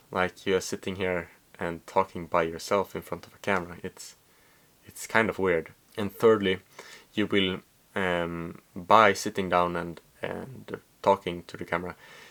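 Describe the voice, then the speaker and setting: Speaking with a Swedish accent, a man has a very deep, low pitch and a bright, sharp tone. His intonation is monotone and flat at a moderate pace, with long, frequent pauses and big swings in loudness. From Sweden. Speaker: vlogger. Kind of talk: casual monologue to camera. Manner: halting, many fillers.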